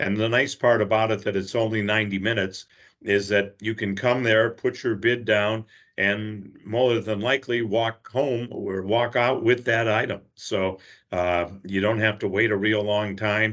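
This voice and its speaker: This man's voice sits fairly low and stays flat and monotone. His pace is moderate. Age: 60s. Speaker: charity fundraiser volunteer. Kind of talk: interview. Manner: hesitant, many filler uhs.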